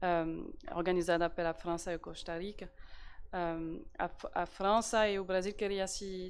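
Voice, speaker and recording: A woman's medium pitch holds to fairly even intonation as she talks. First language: French (speaking Portuguese). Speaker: diplomat, embassy representative. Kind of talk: panel talk. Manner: halting, many fillers and repetitions.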